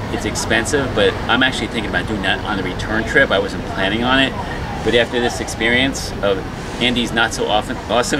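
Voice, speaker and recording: Loud background noise accompanies a man who speaks at a very fast pace. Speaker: travel vlogger. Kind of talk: casual vlog chat. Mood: mildly uneasy, summing up. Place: station. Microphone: phone near.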